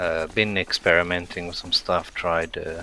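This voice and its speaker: Noticeable background noise runs under the recording. A man with a very deep, low pitch speaks at a fairly slow pace. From South Africa. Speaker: gaming streamer. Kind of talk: live gameplay commentary. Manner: flat intonation; casual, with many fillers.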